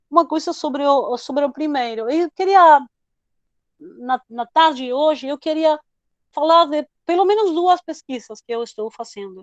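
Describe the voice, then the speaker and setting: In a dry, close sound with no echo, a woman speaks at a moderate pace with a high pitch and lively intonation. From Argentina, Buenos Aires. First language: Spanish (speaking Portuguese). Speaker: history professor and researcher. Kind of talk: lecture.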